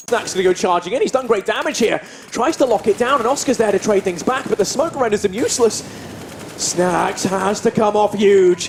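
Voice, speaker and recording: Amid noticeable background noise, a man with a high voice talks at a fairly quick pace, his loudness very even and his pitch variation ordinary. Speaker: esports caster. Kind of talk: live commentary. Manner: animated; fast.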